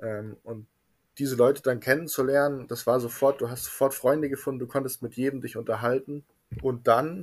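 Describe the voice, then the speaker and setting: A man speaks at a moderate pace and a medium pitch. His intonation is fairly even, and he has an ordinary speaking voice. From Bavaria, Munich. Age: 20s. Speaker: refrigeration mechatronics technician. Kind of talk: casual interview.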